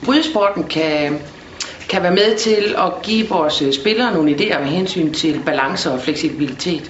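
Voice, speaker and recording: Noticeable background noise and audible room echo accompany speech delivered at a fairly slow pace. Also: woman. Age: 40s. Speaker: sports director. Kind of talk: interview.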